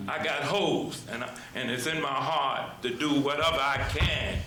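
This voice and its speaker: Fairly high male speech with audible room echo and noticeable background noise. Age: 70s. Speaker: church member speaking at public comment. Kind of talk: public comment at town meeting. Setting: town council meeting. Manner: halting, repeats words.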